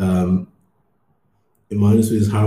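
With a London accent, a man speaks in a dark, mellow tone. His voice is somewhat breathy. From London, England. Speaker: ad tech worker, podcast co-host. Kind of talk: casual discussion.

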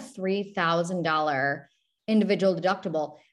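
Against a quiet background, a woman speaks in an unremarkable speaking voice at medium pitch with ordinary pitch variation. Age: 30s. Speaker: benefits broker. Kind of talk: interview.

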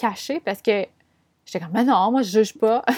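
On a very clean recording with a silent background, a woman's fairly high voice shows ordinary pitch variation in a dry, close sound with no echo. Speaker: podcast host, business and astrology coach. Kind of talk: casual solo monologue. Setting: room with windows open. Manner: animated, frequent laughs.

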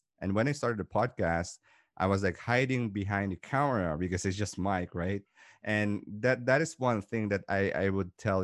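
A man with a Filipino accent and a fairly low pitch speaks at a moderate pace, the sound dry and close with no echo against a quiet background. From Philippines. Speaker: entrepreneur and podcaster. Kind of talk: interview conversation. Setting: remote call.

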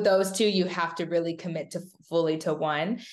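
Using a normal speaking voice, a woman talks at a fairly low pitch with fairly even intonation. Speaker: former college gymnast. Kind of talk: casual chat.

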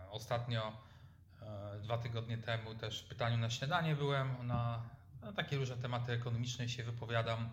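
Man at medium pitch, fairly quick and monotone with flat intonation, big swings in loudness and audible room echo. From Poland, Lower Silesia (Lubań). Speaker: entrepreneur and economist. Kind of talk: interview. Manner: halting.

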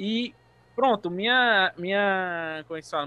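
In a raised, projected voice, a man speaks with a high pitch, ordinary pitch variation, and a bright, sharp tone. The recording is dry and close with no echo, very clean, with a silent background. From Brazil, Bahia (Paulo Afonso). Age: 20s. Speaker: DJ and music producer. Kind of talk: interview.

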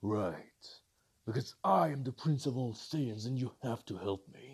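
Man in a put-on character voice at medium pitch, moderate pace. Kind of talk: comic parody voice acting. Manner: arrogant, bossy, easily irritated.

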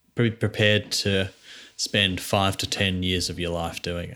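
Very clean recording with a silent background: a man's fairly low voice, bright and sharp in tone, at a fairly slow pace. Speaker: podcast host. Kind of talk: casual chat.

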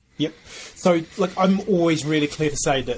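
The speech comes at a fairly quick pace with fairly even intonation. Noticeable background noise can be heard. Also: man. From UK. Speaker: B Corp consultant. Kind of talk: casual interview.

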